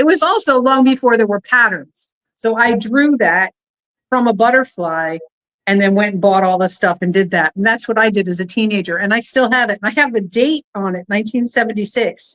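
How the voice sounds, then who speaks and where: Fairly high in pitch with ordinary pitch variation, a woman with an unremarkable speaking voice talks at a fairly quick pace in a dry, close sound with no echo. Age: 60s. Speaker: podcast host. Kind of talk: casual chat.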